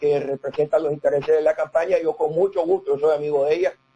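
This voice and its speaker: With fairly even intonation, this man's voice has a dark, mellow tone. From Nicaragua. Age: 60s. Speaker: banker and business consultant. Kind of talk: interview.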